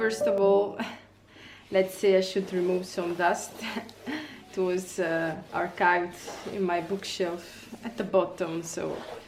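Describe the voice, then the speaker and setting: A woman with an Italian accent speaks at a medium pitch and a very slow pace, with monotone, flat intonation and long, frequent pauses. Noticeable background noise and an audible room echo surround her voice. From Italy. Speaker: illustrator. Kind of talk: casual vlog tutorial. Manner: hesitant, many fillers.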